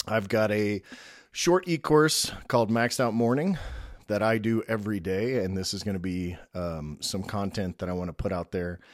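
A man with a plain, everyday voice and fairly low pitch speaks at a moderate pace. The recording is very clean, with a silent background and a dry, close sound with no echo. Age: 50s. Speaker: podcast host and business owner. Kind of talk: solo podcast introduction. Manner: casual with frequent filler words.

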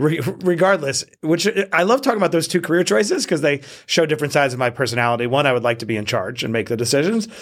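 Talking at a very fast pace, a man with an American accent uses lively intonation at a fairly high pitch, with vocal fry. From Queens, New York. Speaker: entrepreneur and author. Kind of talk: interview conversation.

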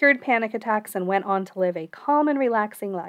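Recorded very cleanly against a silent background, a woman with an unremarkable speaking voice talks at a fairly high pitch with ordinary pitch variation. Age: 30s. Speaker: podcast host, neuroscientist and therapist in training. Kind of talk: personal monologue.

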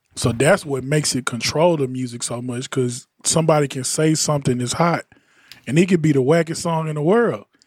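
Talking at a fairly quick pace, a man has a plain, everyday voice, fairly high in pitch with ordinary pitch variation. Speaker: podcast host and music producer. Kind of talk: casual panel chat about audio and music.

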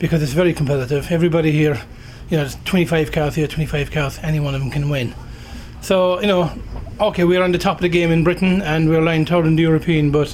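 Amid noticeable background noise, a man talks very fast in a high voice with fairly even intonation. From Ireland. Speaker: rallycross driver. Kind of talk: trackside interview. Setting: race circuit motorhome.

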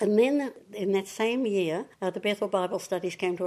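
Someone speaks with a New Zealand accent and a dark, mellow tone at a moderate pace. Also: woman. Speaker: churchgoer sharing faith testimony. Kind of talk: testimony interview.

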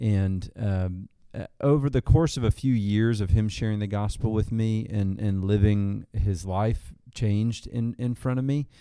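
Southern US accent from a man, fairly slow, dark and mellow in tone, with ordinary pitch variation on a very clean recording with a silent background. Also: fairly low pitch for a man, hardly any pauses. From Arkansas. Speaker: church outreach minister. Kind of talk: casual interview. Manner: halting, with fillers.

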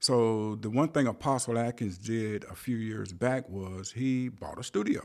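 This man has a Southern US accent and speaks at medium pitch with ordinary pitch variation. His pace is moderate, on a very clean recording with a silent background. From US South, rural South Carolina. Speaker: musician and composer. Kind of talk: interview. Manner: halting.

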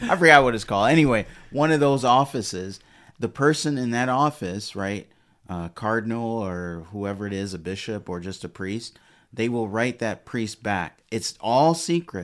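A man's plain, everyday voice with an American accent, medium in pitch, with lively intonation at a moderate pace, on a very clean recording with a silent background. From US Midwest (Detroit). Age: 40s. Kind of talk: casual chat.

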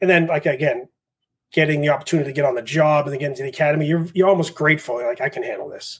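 Somewhat breathy speech from a man with a Boston accent, fairly high in pitch and fairly even in intonation. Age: 40s. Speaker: fire captain and instructor. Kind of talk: casual interview chat. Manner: fast talker.

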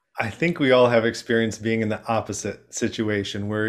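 This is an ordinary speaking voice. A man talks at a moderate pace in a medium pitch. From Chicago, US. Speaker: HR professional and connection coach. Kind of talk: casual interview chat.

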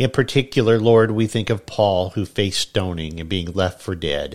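With a normal speaking voice, a man talks at a moderate pace in a fairly low pitch with ordinary pitch variation, the recording very clean with a silent background. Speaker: pastor. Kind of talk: fervent prayer, spoken as a pastor's devotional prayer to God. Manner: earnest, reverent, solemn and heartfelt.

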